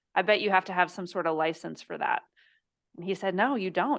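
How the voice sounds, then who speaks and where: Vocal fry from a woman at medium pitch, at a fairly quick pace over a quiet background. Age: 30s. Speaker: business coach and entrepreneur. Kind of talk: interview.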